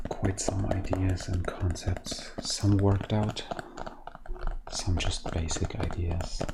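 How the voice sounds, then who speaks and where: Someone is whispering at a very slow pace. Noticeable background noise is present. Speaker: ASMR creator. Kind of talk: ASMR tapping video with whispered talk. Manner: whispered.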